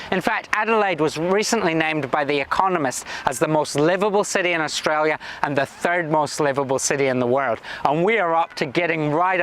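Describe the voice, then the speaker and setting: Noticeable background noise runs under this recording. A man with a Scottish accent speaks with ordinary pitch variation. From Scotland. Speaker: government minister. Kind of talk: prepared video address.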